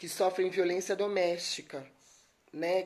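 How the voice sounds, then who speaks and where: Soft-spoken, the woman has a fairly low pitch. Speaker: lawyer giving a talk. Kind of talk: live stream talk. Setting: live stream.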